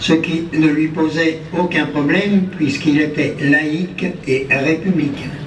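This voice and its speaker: A man with a fairly high pitch speaks very slowly in a flat monotone. Audible room echo and noticeable background noise come through. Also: very even loudness. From France, Paris and Auvergne. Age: 90s. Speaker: war veteran. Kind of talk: ceremony speech. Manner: formal.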